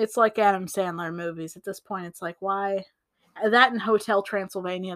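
The background stays quiet. Someone reads aloud in a natural voice.

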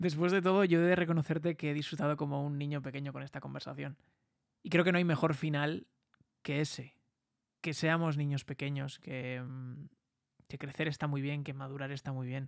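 Fairly high-pitched, this man talks at a fairly quick pace with fairly even intonation. He leaves long, frequent pauses on a very clean recording with a silent background. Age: 20s. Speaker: podcaster and content creator. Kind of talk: solo monologue podcast.

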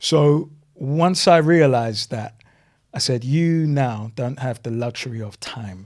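In a very clean recording with a silent background, a man with medium pitch and an unremarkable speaking voice talks at a fairly slow pace, showing ordinary pitch variation and big swings in loudness. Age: 40s. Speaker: community advocate and businessman. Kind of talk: podcast interview.

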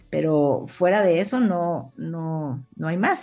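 A woman's fairly low voice with lively intonation against a quiet background. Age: 50s. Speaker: business executive. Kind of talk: interview. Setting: live streamed studio show.

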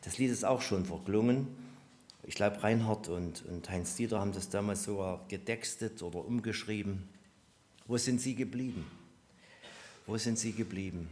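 With audible room echo, a man speaks at a moderate pace and a fairly low pitch, his pitch varying in an ordinary way and his speech broken by long, frequent pauses. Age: 60s. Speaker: preacher. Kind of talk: sermon. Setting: church service with congregation.

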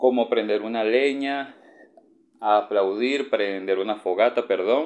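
Very slow speech carries ordinary pitch variation. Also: man, medium pitch for a man. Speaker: podcaster and university student. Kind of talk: casual monologue podcast.

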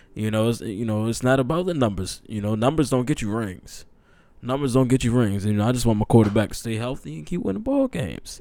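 A man talks very fast at a medium pitch, with ordinary pitch variation, in a very clean recording with a silent background. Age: 20s. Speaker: sports podcast host. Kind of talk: casual solo sports commentary. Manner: animated.

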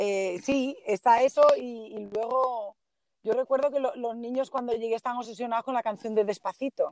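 The speech moves at a medium pace, its intonation staying fairly level. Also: woman, high pitch for a woman. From Galicia, northern Lugo. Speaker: Spanish language teacher. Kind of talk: interview.

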